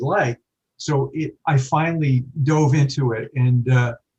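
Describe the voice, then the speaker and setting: Intonation stays fairly even in an American accent, with a somewhat breathy quality. The sound is dry and close, with no echo. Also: man. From New York. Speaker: writer. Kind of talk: interview.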